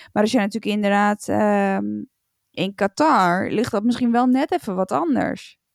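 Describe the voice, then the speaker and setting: Loudness stays very even at a fairly slow pace. The recording is very clean with a silent background and a dry, close sound with no echo. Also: woman. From Netherlands. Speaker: podcast co-host. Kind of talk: casual chat.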